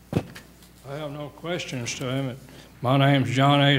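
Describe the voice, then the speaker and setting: Amid noticeable background noise and audible room echo, a man speaks at a fairly slow pace. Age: 80s+. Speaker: angler appealing license revocation. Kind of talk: testimony.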